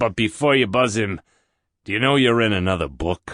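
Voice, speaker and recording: In a put-on character voice, a man sounds raspy and fairly low-pitched, with lively intonation and a moderate pace. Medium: audio drama. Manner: blunt, casual.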